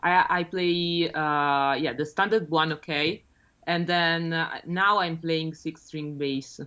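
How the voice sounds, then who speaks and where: Speaking very slowly in an Italian accent, a woman keeps a fairly low pitch and fairly even intonation. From Italy, Rome. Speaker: bassist. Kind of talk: interview. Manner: halting, many fillers.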